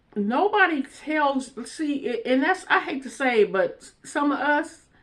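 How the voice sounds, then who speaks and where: Speaking fairly slowly, a woman with a high pitch moves through very wide pitch swings. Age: 60s. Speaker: online talk show host. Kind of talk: casual commentary monologue. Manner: halting, many fillers.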